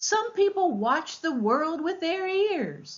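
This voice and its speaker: In a put-on character voice, a woman speaks very slowly at an extremely high pitch, squeaky yet warm in tone, with very wide pitch swings. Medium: read story. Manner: warm, gently teaching.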